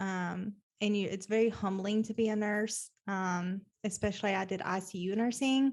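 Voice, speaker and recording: A woman of medium pitch speaks with an American accent in a monotone, flat intonation. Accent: Southern drawl, stronger when upset. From US South, Nashville, Tennessee. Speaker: plumbing business owner. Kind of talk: podcast interview.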